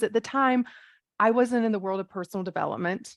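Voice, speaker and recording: A woman with a fairly high pitch is recorded with a dry, close sound and no echo. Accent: American. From US South. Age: 40s. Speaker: life coach, former nurse. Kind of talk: interview.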